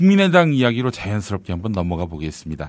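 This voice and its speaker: A man's voice with very wide pitch swings. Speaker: podcast news show host. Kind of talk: news commentary and interview. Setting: studio. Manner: formal.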